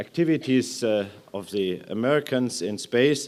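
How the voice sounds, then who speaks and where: The speaker has a German accent and lively intonation. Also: man. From Germany. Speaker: aerospace executive. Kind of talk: conference speech. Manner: hesitant with fillers.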